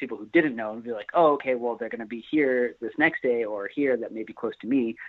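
With a plain, everyday voice, a man speaks at a fairly quick pace and medium pitch, his loudness swinging widely. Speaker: touring band member. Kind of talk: casual interview.

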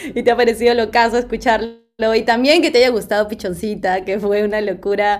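A woman in an ordinary speaking voice talks at a moderate pace and fairly high pitch with fairly even intonation. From Peru. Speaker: singer. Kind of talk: casual interview.

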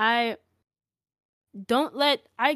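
Heard with a dry, close sound and no echo, a woman speaks with an American accent. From Koreatown, Los Angeles. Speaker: music artist. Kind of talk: casual interview chat.

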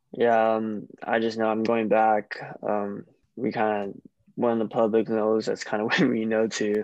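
Monotone, flat intonation in an American accent at a fairly slow pace. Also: man, medium pitch for a man. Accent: American, noticed by Australians. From Hawaii, Honolulu. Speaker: professional baseball player. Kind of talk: casual interview.

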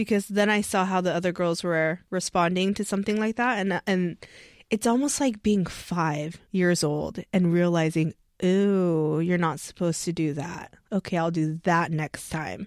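Heard in a very clean recording with a silent background and a dry, close sound with no echo, a woman with an American accent uses an ordinary speaking voice, talking at a moderate pace at a fairly low pitch with ordinary pitch variation. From US, Korean American. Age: 30s. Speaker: interviewed voter. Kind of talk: interview.

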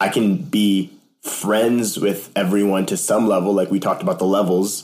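At a moderate pace, a man speaks in an ordinary speaking voice. His pitch is fairly low. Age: 20s. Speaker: church staff member and sales worker. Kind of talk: casual chat.

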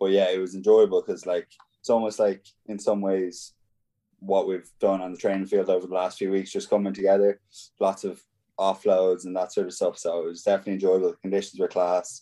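A man with an Irish accent, fairly low in pitch, dark and mellow in tone, monotone and flat in intonation, at a fairly quick pace. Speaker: professional rugby player. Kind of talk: casual interview. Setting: video call.

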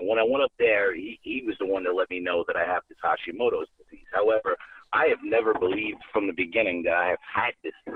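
A man with a New York accent talks at a very fast pace, with big swings in loudness. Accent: Bronx New York. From New York City, the Bronx. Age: 40s. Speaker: caller. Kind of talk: casual chat. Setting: phone call.

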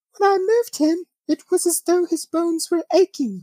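A woman does a put-on, squeaky character voice in a British accent, pitched extremely high with ordinary pitch variation, very even loudness and a moderate pace, in a dry, close sound with no echo.

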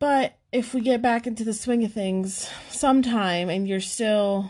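Speaking fairly slowly with an American accent, a woman uses an ordinary speaking voice with ordinary pitch variation. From New York, US. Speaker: podcast co-host. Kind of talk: casual chat.

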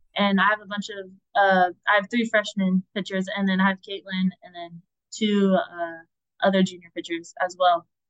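Her medium-pitched voice is an unremarkable speaking voice, delivered at a moderate pace with a dry, close sound and no echo. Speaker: college softball pitcher. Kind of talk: interview.

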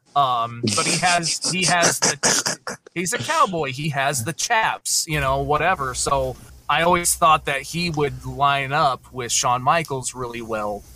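A man with a plain, everyday voice and fairly high pitch speaks at a fairly slow pace with hardly any pauses and ordinary pitch variation. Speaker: podcast host and ring announcer.

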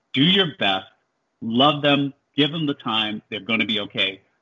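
A man speaks with an American accent in a fairly high pitch with lively intonation. His is an unremarkable speaking voice. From New Jersey, Jersey City. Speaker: hedge fund manager and author. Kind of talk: interview.

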